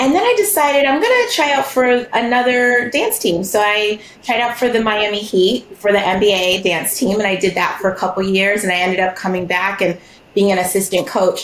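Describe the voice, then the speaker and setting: A woman at a fairly quick pace, with very even loudness and noticeable background noise. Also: medium pitch for a woman, ordinary pitch variation. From Bahamas. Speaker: therapist and business founder. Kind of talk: podcast interview.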